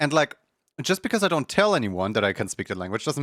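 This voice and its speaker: A man with a non-native accent talks very fast with very wide pitch swings, in a dry, close sound with no echo on a very clean recording with a silent background. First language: not English. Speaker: video game streamer. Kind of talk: casual chat.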